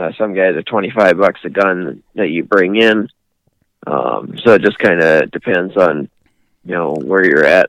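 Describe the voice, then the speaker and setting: Speaking at a fairly slow pace, a man with a very deep, low voice uses ordinary pitch variation and shows vocal fry. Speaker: hunting outfitter and snow goose hunting champion. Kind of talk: casual interview.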